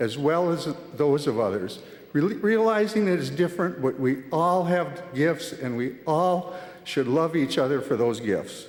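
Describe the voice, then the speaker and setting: At a moderate pace, a man talks with a fairly high pitch and very wide pitch swings. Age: 70s. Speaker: church member giving testimony. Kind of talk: testimony. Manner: halting, with fillers and restarts.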